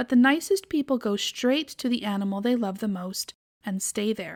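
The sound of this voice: An unforced reading voice with ordinary pitch variation plays against a quiet background.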